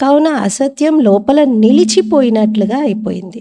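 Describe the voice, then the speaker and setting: This woman's voice sits high in pitch, with lively intonation. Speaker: Brahma Kumaris spiritual teacher. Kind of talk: spiritual discourse reading.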